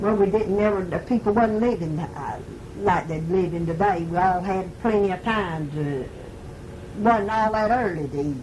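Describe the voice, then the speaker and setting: With a strong Southern US accent, a woman at a medium pitch speaks at a moderate pace with ordinary pitch variation over noticeable background noise. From Mississippi. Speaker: grandmother recalling rural life in the 1930s. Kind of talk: oral history interview answer. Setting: home tape recording.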